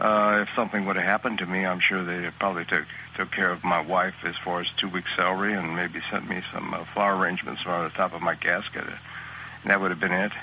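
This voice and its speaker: A man with a very deep, low pitch talks at a fairly quick pace with hardly any pauses and monotone, flat intonation. Noticeable background noise runs underneath. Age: 60s. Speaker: network marketer. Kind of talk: testimonial interview. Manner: halting, many fillers.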